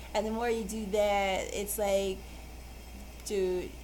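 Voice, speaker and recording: A woman at medium pitch, speaking fairly slowly in a flat monotone, with noticeable background noise and audible room echo. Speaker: tarot reader. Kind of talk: tarot card reading. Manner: halting.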